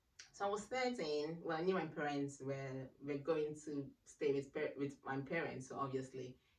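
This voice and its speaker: A woman with a very deep, low pitch speaks at a moderate pace over noticeable background noise. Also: ordinary pitch variation. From Ghana. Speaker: radiography graduate, church member. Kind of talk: casual interview chat.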